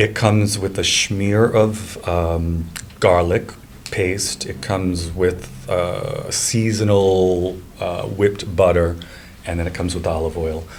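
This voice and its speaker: A man with a Rhode Island accent speaks at a very slow pace and a very deep, low pitch. Noticeable background noise and audible room echo come through. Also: fairly even intonation. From Rhode Island, Cranston. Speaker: real estate agent. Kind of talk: casual chat.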